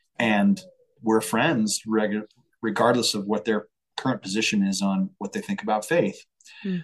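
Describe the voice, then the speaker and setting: Using an ordinary speaking voice with an American accent, a man speaks at a moderate pace and medium pitch with ordinary pitch variation. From Colorado, US. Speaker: singer-songwriter and entrepreneur. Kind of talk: casual interview.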